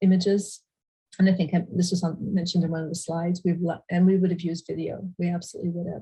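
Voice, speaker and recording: The voice is somewhat breathy, with a dark, mellow tone. Its intonation is monotone and flat. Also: woman. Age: 60s. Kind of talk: panel discussion. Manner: halting.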